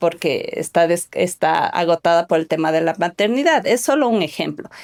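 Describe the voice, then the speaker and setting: Fairly slow female speech at a medium pitch. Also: dry, close sound with no echo. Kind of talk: podcast conversation.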